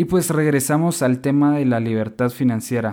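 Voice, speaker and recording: A man with a fairly high voice talks at a moderate pace with ordinary pitch variation, in a very clean recording with a silent background. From Guatemala. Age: 20s. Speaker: podcast host. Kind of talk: solo podcast monologue.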